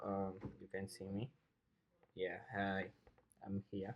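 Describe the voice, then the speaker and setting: Very slowly, a man with a non-native accent speaks in a dark, mellow tone. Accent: Portuguese-speaking accent in English. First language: Portuguese. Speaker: software programmer and coding teacher. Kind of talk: tutorial. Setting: home recording room, no studio. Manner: halting, hesitant with repetitions.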